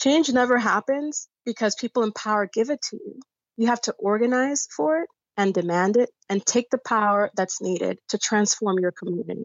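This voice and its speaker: A woman's unremarkable speaking voice with an American accent, fairly high in pitch, at a moderate pace with ordinary pitch variation. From New York City, South Bronx. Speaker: community organizer and congressional candidate. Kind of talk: interview.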